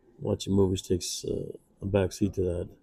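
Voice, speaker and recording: A man speaks in a fairly low, somewhat breathy voice with a dark, mellow tone. His intonation is monotone and flat, and his pace is moderate. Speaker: comic book inker. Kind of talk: tutorial. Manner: casual, hesitant with fillers.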